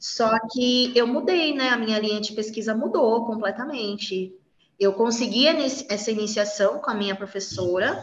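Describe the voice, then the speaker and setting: A woman speaks at a moderate pace with a fairly high pitch and ordinary pitch variation. It is an ordinary speaking voice. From São Paulo, Brazil. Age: 30s. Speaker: university biology professor. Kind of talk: interview, casual chat.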